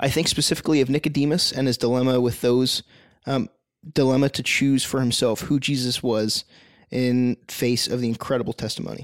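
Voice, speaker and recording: A man at medium pitch with fairly even intonation and a fairly quick pace, an unremarkable speaking voice on a very clean recording with a silent background. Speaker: podcast co-host. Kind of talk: casual discussion podcast. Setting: studio, in a living room.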